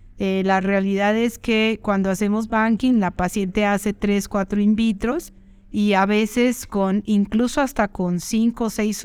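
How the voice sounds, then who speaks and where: Using a plain, everyday voice, a woman talks at a medium pitch and a fairly slow pace. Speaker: fertility doctor. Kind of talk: educational monologue. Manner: conversational.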